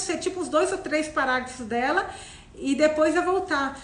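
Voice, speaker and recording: Audible room echo surrounds a woman as she talks. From Minas Gerais, Brazil, near Bahia. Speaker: book club host. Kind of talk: casual chat, live book discussion. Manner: conversational, hesitant with repetitions.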